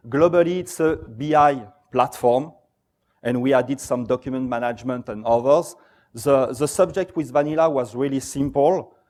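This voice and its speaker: A man with a French accent and fairly high pitch, moderate pace and ordinary pitch variation, on a very clean recording with a silent background. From France. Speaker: software company presenter. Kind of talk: conference talk.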